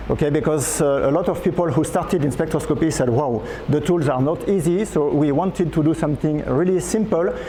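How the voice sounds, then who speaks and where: A man talks at a fairly quick pace with hardly any pauses, a fairly high pitch, ordinary pitch variation and very even loudness. Audible room echo and noticeable background noise come through in the recording. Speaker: amateur astronomy speaker. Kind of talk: conference talk. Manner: fast; hesitant, many fillers.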